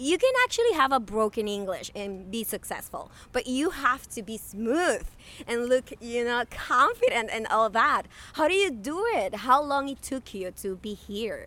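A woman's high, bright, sharp voice in a Spanish accent, with lively intonation. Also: moderate pace. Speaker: podcast host. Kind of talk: casual chat.

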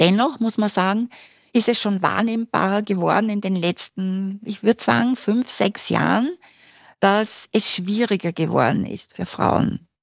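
A woman's plain, everyday voice at medium pitch and a fairly slow pace, with ordinary pitch variation and a dry, close sound with no echo. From Austria, Styria. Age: 60s. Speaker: university lecturer. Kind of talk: podcast interview. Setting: studio.

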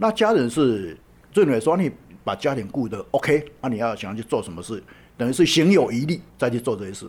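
A man with a Taiwanese accent talks at a fairly quick pace and medium pitch, with very wide pitch swings and big swings in loudness. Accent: Taiwanese Mandarin. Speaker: charity association founder and volunteer. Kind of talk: interview. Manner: frequent hesitation fillers.

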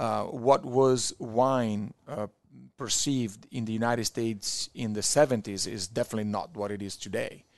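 Against a quiet background, a man with an Italian accent talks at a moderate pace and medium pitch. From Italy, Verona. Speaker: wine importer. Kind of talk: casual chat. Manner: animated storyteller.

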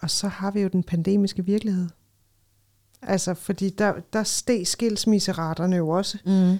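A woman's dark, mellow tone at a fairly slow pace, with monotone, flat intonation, on a very clean recording with a silent background. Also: medium pitch for a woman. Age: 40s. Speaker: ethnologist and lifestyle expert. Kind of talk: casual chat.

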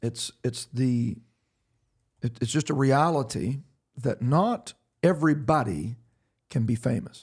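At a fairly slow pace, a man speaks with long, frequent pauses and lively intonation. His medium-pitched voice sounds somewhat breathy. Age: 80s+. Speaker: pastor. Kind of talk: podcast discussion on Bible and faith.

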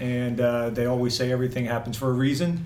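With a monotone, flat delivery, a man at a medium pitch speaks amid noticeable background noise and audible room echo. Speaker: volunteer and Marine veteran. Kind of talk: interview.

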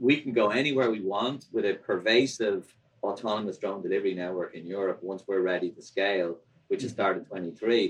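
With an Irish accent, a man speaks at a fairly quick pace. His voice is fairly low, with ordinary pitch variation. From Ireland. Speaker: drone delivery company founder. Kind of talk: interview.

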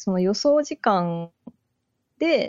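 A woman speaks at a medium pitch. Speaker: software engineer. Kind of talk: casual chat.

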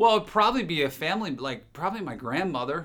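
Bright and sharp in tone, a man speaks with an American accent. His pace is fairly quick. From New Jersey, near the Jersey Shore. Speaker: TV morning show host. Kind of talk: casual interview chat. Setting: studio.

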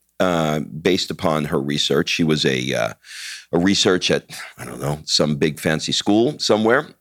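A man with an American accent, vocal fry and very wide pitch swings, in a dry, close sound with no echo. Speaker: podcast host and entrepreneur. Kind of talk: casual chat.

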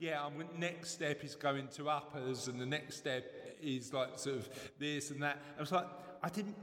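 A man speaks with an East London accent at a moderate pace. His pitch is fairly high. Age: 40s. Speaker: podcast host. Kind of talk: casual chat and interview.

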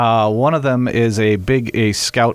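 Fairly even intonation and a fairly low pitch come from a man with an unremarkable speaking voice. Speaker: vintage car restoration shop owner. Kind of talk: casual chat. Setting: studio.

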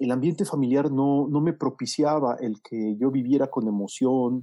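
In a plain, everyday voice, a man talks at medium pitch with fairly even intonation. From Mexico City. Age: 50s. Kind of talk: casual interview.

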